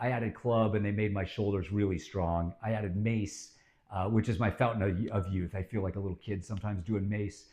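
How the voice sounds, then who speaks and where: The somewhat breathy voice moves at a fairly quick pace with ordinary pitch variation. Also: man. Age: 50s. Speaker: fitness channel host. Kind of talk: informal fitness talk to camera. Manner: casual with many filler words.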